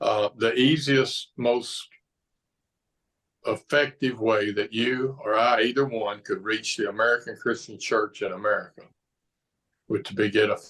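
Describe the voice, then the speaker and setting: Long, frequent pauses and fairly even intonation in a Southern US accent. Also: man. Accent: Southern drawl. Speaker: pastor. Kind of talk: interview conversation.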